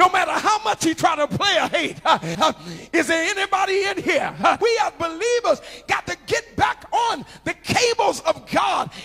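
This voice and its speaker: Over music in the background, a man with an American accent uses a raised, projected voice at an extremely high pitch for a man, speaking at a fairly slow pace. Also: ordinary pitch variation. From Ohio, USA. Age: 50s. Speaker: preacher. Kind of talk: sermon. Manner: melodic, rhythmic preaching. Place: church. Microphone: handheld.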